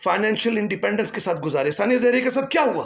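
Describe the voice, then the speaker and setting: A man speaks with lively intonation. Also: very clean recording, silent background. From Islamabad, Pakistan. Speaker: singer and voiceover artist. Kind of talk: podcast commentary to camera.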